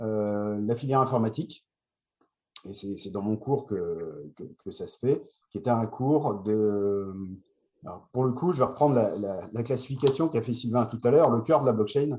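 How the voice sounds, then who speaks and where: This man talks at a moderate pace in a dark, mellow tone, with ordinary pitch variation, big swings in loudness, and long, frequent pauses. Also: medium pitch for a man. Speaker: university lecturer. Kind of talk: panel talk. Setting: remote video call.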